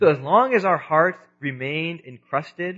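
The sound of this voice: Fairly high-pitched for a man, this male speaker talks at a fairly slow pace.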